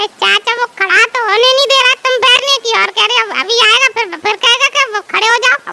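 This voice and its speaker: Using a cartoonish character voice at an extremely high pitch, the speaker goes at a fairly quick pace with hardly any pauses. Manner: casual, cheeky.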